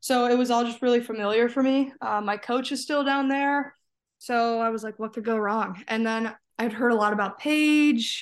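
With an ordinary speaking voice, a woman speaks at a moderate pace and a fairly high pitch, her intonation fairly even over a quiet background. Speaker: college tennis player. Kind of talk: casual interview. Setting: remote call from home.

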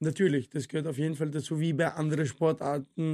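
This man has an Arabic accent and a dark, mellow tone at a fairly high pitch. He speaks at a moderate pace with monotone, flat intonation. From Syria, moved to Vienna at 12. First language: Arabic (speaking German). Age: 40s. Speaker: former Thai boxing champion, martial arts coach. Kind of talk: casual interview. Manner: hesitant, many fillers.

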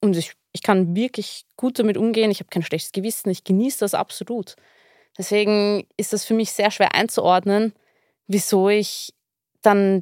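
Speech in an Austrian accent moves at a moderate pace with long, frequent pauses and a monotone, flat intonation on a very clean recording with a silent background. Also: woman. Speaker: therapy client. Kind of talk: personal conversation.

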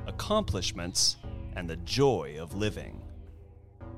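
This is an unforced reading voice. Nothing more is heard.

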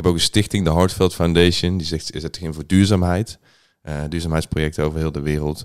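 A man's very deep, low voice at a fairly quick pace, flat and monotone in intonation, with big swings in loudness, on a very clean recording with a silent background. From southern Netherlands, Boxtel, North Brabant. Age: 20s. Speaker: DJ and music producer. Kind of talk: casual chat.

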